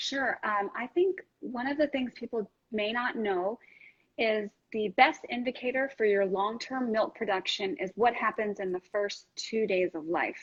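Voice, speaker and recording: A woman's fairly high, somewhat breathy voice with lively intonation, dry and close with no echo. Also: fairly slow pace. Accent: New York. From New York. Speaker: lactation consultant and nurse. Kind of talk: interview. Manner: direct.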